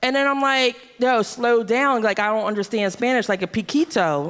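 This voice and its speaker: A woman with a fairly high pitch talks at a moderate pace in a normal speaking voice. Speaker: comedy show host. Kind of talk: stage banter.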